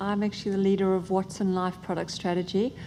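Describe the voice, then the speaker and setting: A woman's dark, mellow tone at a medium pitch, fairly quick, in an Australian accent, with audible room echo. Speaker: tech product strategist. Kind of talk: conference panel talk. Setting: stage with audience.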